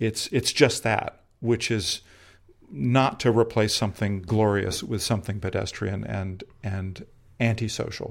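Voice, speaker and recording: A man talks fairly slowly at a medium pitch with vocal fry. The recording is very clean, with a silent background. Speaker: photographer and actor. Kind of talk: interview. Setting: own home. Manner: halting, repeats words.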